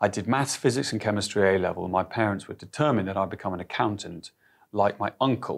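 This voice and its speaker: A man's fairly low voice with ordinary pitch variation, an unremarkable speaking voice, against a quiet background. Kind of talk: interview answer. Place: office. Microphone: lapel.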